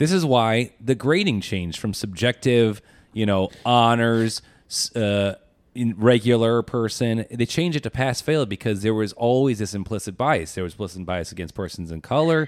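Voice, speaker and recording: A man with an unremarkable speaking voice talks at medium pitch and a moderate pace, his intonation lively. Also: very clean recording, silent background. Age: 30s. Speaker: co-host, fourth-year medical student. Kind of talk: casual chat.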